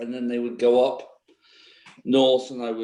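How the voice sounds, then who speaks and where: A man's dark, mellow tone carries his words at a moderate pace. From England, Stratford-upon-Avon. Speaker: political candidate. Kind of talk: candidate self-introduction at caucus. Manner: hesitant, many fillers.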